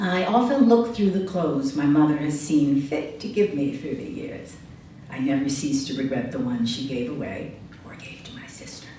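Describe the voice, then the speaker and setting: In an American accent, a woman with a very deep, low voice speaks at a moderate pace with very wide pitch swings and big swings in loudness, amid audible room echo and noticeable background noise. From Chicago, US Midwest. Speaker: writer and essayist. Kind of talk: reading aloud own essay.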